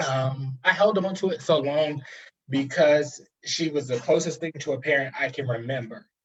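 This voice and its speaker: A man with an American accent speaks at a moderate pace, his voice somewhat breathy. His pitch is fairly high, with ordinary variation. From New Jersey, US. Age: 20s. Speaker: guest, higher education worker. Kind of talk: personal testimony in interview. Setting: live stream video call.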